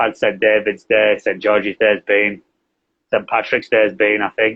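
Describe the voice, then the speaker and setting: A man speaks at a moderate pace with a Yorkshire accent. His pitch is fairly low and his intonation is flat and monotone. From northern England, Yorkshire. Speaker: English teacher and translator. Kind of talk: interview. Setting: live video stream.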